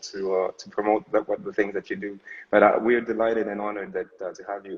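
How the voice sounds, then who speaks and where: With lively intonation, a man talks in a plain, everyday voice. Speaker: live show host. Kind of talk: casual live-stream hosting.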